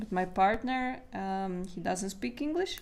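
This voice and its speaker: A woman with a non-native accent speaks at a medium pitch. Her pace is moderate and her pitch varies in an ordinary way. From Latvia. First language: Latvian. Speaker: artist and art coach. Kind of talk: livestream talk to viewers. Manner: halting.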